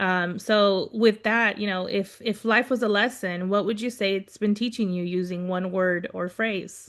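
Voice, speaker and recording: In an unremarkable speaking voice of medium pitch, a woman talks at a fairly slow pace with fairly even intonation and hardly any pauses. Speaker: podcast host. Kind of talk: casual podcast conversation.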